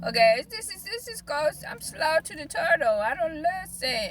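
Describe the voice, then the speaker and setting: A woman's animated tone and lively intonation at a moderate pace. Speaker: life, business and spiritual coach. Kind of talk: casual vlog monologue.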